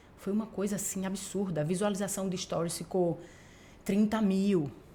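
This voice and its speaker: A woman speaks at medium pitch in a dark, mellow, somewhat breathy tone. Her intonation is fairly even and her pace moderate. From Paraíba, Brazilian Northeast. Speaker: TV journalist and news anchor. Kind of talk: casual interview chat.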